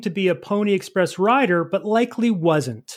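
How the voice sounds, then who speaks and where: On a very clean recording with a silent background, a man talks in a high-pitched voice. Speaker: quiz host and producer. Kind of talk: game show style quiz chat.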